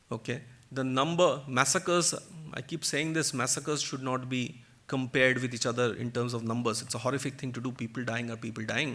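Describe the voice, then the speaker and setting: Speaking fairly quickly with a Bengali accent, a man uses a medium pitch and a bright, sharp tone on a very clean recording with a silent background. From India, Kolkata (West Bengal). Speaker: author and guest speaker. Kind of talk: public talk. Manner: animated.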